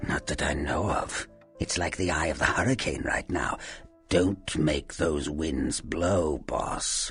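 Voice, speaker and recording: A put-on character voice from a man, very deep and low, at a fairly slow pace, with faint music in the background. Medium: video game. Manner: sardonic, folksy, calls listener boss.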